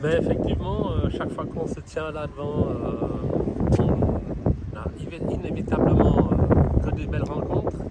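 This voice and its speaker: Noticeable background noise behind fairly slow talking. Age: 60s. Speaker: snack stand owner. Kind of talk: interview. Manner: hesitant.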